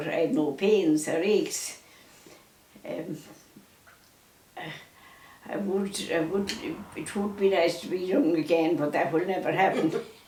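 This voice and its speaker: A woman speaks very slowly in a Mayo accent, her fairly low voice broken by long, frequent pauses over noticeable background noise. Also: ordinary pitch variation. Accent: Irish, County Mayo. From Ireland. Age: 80s+. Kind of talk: interview answer, life recollections. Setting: at home.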